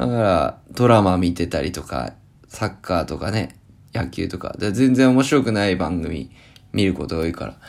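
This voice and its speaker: Very deep, low pitch from a man at a moderate pace, with vocal fry and lively intonation. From Japan, Akita. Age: 30s. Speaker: podcast host. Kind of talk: casual solo talk.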